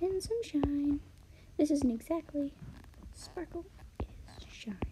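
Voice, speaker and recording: Putting on a character voice, a woman mumbles at a moderate pace and high pitch, with lively intonation, big swings in loudness and light background noise. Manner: mumbling.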